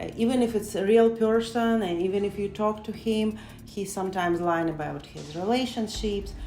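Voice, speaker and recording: With music in the background and audible room echo, a woman speaks with a non-native accent and lively intonation. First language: not English. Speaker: interviewee. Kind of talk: interview.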